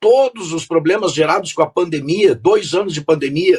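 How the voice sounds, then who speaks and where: Lively intonation at a moderate pace. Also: man. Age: 60s. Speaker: politician, gubernatorial candidate. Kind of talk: radio interview.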